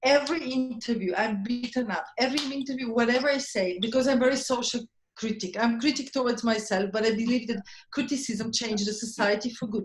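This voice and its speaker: A woman talks at a fairly quick pace with a fairly high pitch. Her tone is animated. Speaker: chef. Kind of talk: panel discussion. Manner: loud.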